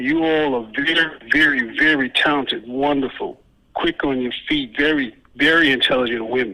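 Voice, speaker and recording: With an unremarkable speaking voice, a man talks at a moderate pace, his fairly high pitch held to fairly even intonation. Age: 50s. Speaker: caller, Nation of Islam member. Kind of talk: call-in encouragement.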